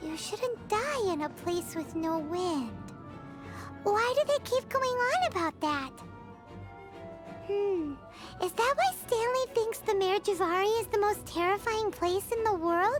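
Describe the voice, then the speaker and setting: An extremely high-pitched, put-on character voice speaks with long, frequent pauses. Clear music plays in the background. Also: fairly slow pace. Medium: video game. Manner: lively, expressive.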